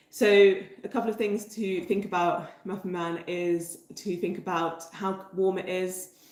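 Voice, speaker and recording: A woman's medium-pitched voice in a southern English accent, monotone and flat, with audible room echo and noticeable background noise. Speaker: bread baking teacher. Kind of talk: livestream tutorial chat. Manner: hesitant with many fillers.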